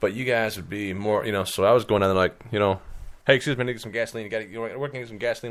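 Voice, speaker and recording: A man with a Midwestern US accent and a medium pitch talks at a very fast pace with ordinary pitch variation and big swings in loudness, on a very clean recording with a silent background. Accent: northern US (Midwest). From Illinois. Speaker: podcast host. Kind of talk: casual chat. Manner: animated.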